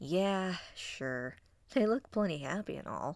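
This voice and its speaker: A female-sounding, rumbling put-on character voice at a middle pitch speaks at a fairly slow pace on a very clean recording with a silent background. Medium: read story. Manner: grumbling.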